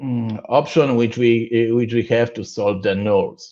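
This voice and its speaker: At a very slow pace, a man with a Polish accent speaks in a dark, mellow tone at a medium pitch. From Poland. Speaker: conference speaker on programming. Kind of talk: technical conference talk. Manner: halting, many fillers and restarts.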